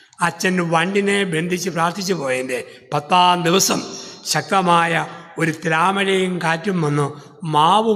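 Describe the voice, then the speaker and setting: With music in the background, a man talks at a high pitch. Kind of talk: sermon.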